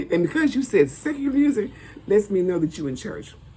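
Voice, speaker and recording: With ordinary pitch variation, a woman talks at a very fast pace. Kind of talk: casual advice talk.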